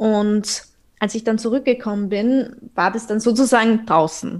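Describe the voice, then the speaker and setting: A woman at a medium pitch and a fairly slow pace, with fairly even intonation, in a very clean recording with a silent background. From Austria. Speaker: podcaster, eating disorder survivor. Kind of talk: interview guest, personal testimony.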